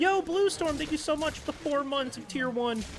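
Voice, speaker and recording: A man's animated tone cuts through noticeable background noise. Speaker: video game streamer. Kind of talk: live gaming stream chat. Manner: fast.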